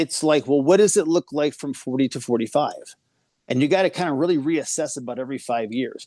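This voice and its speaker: Fairly high-pitched for a man, this voice moves at a fairly quick pace with ordinary pitch variation. The sound is dry and close with no echo, over a quiet background. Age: 50s. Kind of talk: casual interview chat. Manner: animated.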